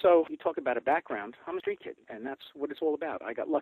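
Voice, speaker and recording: In a Brooklyn accent, the speaker talks at a very fast pace. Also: man. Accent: New York (Brooklyn). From New York, Brooklyn. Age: 60s. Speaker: clothing store owner. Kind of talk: interview. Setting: phone call.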